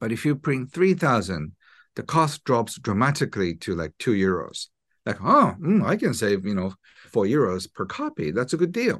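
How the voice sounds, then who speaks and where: Speaking with a Japanese accent, a man uses a medium pitch with very wide pitch swings. His pace is moderate, and the background is quiet. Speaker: self-help author. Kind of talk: interview. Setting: video call.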